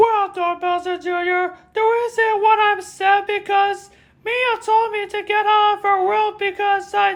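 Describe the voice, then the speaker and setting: The voice is squeaky and extremely high-pitched, a put-on character voice. Its pace is fairly slow. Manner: sad, upset.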